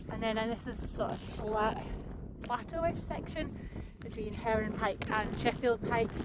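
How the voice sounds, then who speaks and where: Over noticeable background noise and audible room echo, a woman speaks in a fairly high voice. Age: 30s. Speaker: outdoor vlogger. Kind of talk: casual vlog narration. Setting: outdoors on a mountain.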